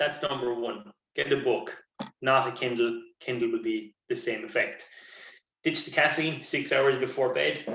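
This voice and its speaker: In an Irish accent, a man of medium pitch speaks with a bright, sharp tone and fairly even intonation, with audible room echo. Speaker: sports nutritionist. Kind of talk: lecture. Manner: fast.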